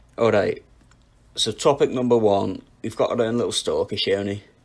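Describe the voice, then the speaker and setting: Here a man talks at a moderate pace with a northern English accent. The recording is very clean, with a silent background. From northwest England. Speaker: music podcast co-host. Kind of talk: casual chat.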